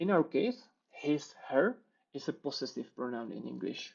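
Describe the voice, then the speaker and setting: Speaking at a moderate pace in a Czech accent, a man uses a fairly high voice. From Czech Republic. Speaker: software developer. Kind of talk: conference talk with live coding demo.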